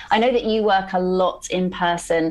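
A woman speaks at medium pitch with fairly even intonation in a plain, everyday voice. The background is quiet. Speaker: podcast host. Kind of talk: casual interview conversation.

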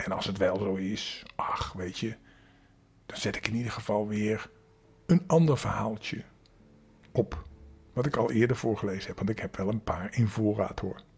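Somewhat breathy and fairly low in pitch, a man speaks at a moderate pace with long, frequent pauses. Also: ordinary pitch variation. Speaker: children's storyteller. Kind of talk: casual chat; bedtime story reading. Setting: home in quarantine. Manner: gentle.

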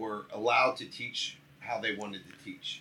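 Noticeable background noise runs behind a man who talks at a moderate pace. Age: 40s. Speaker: podcast guest. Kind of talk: casual chat.

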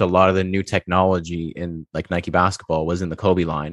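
Against a quiet background, a man speaks at a very deep, low pitch, the sound dry and close with no echo. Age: 20s. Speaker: sneaker podcast host. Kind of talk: casual chat.

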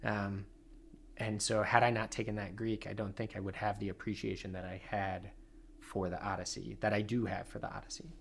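A man talks at a fairly quick clip in a fairly low pitch, his voice somewhat breathy. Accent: American. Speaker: university professor of classics. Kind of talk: casual interview chat. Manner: hesitant, filler-heavy.

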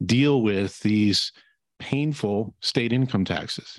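A man in an ordinary speaking voice at medium pitch, with ordinary pitch variation and a fairly slow pace. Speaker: financial advisor. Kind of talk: interview discussion. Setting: video webinar.

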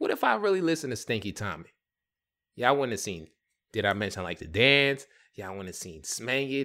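Animated and bright with a sharp tone, a man with an American accent talks at a fairly quick pace and medium pitch, with very wide pitch swings, big swings in loudness and long, frequent pauses. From US Northeast, Bronx, New York. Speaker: podcast host, music producer. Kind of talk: casual monologue.

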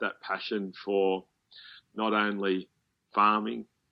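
This man talks at a fairly slow pace in a fairly low voice. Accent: Australian. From Australia, Melbourne. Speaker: farmer. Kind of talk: interview.

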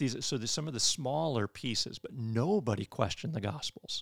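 In a dry, close sound with no echo and a silent background on a very clean recording, a man with an American accent and vocal fry talks at a moderate pace with ordinary pitch variation. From Michigan. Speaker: theology professor and pastor. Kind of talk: interview on church history.

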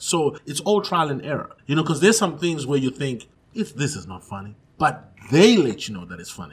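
Very wide pitch swings and vocal fry mark this voice, which moves at a fairly quick pace. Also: man. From Zimbabwe. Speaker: stand-up comedian. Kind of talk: casual interview chat.

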